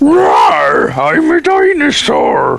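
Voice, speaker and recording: A man puts on a character voice pitched extremely high. Background noise is clearly audible. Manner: roaring, playful.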